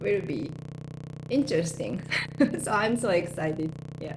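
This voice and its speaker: With a Japanese accent, a woman speaks at a fairly low pitch, with music in the background and audible room echo. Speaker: life coach and hypnotherapist. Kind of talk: casual interview conversation.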